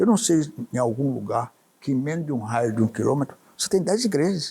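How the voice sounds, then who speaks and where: At a fairly quick pace, a man with a fairly high pitch sounds somewhat breathy and dark and mellow in tone, his pitch swinging very widely. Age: 80s+. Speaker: businessman and journalist. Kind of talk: interview answer.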